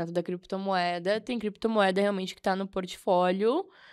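A woman speaks at a moderate pace against a quiet background. Her pitch is medium, with ordinary variation. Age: 20s. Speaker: crypto investor and economics student; podcast guest. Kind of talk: casual chat. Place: studio. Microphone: studio mic.

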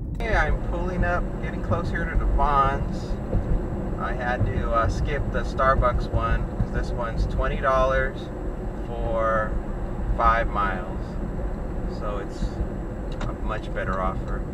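Loud background noise accompanies a fairly slow voice broken by long, frequent pauses. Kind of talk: casual vlog chat. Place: car.

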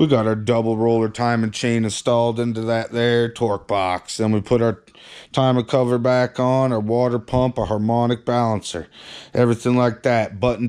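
Over a quiet background, a man talks at a moderate pace with very even loudness and a monotone, flat intonation. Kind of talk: casual vlog chat. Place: garage. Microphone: phone near.

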